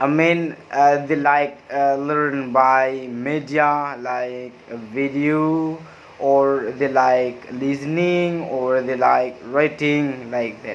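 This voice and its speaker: A man with a fairly high pitch speaks very slowly in a monotone, flat way, with audible room echo and noticeable background noise. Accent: Madura. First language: Madurese. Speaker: university student. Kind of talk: class review presentation. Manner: halting, frequent hesitations.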